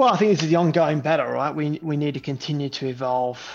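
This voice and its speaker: A man with an Australian accent and fairly even intonation. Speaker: technology executive. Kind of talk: interview. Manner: halting, many fillers.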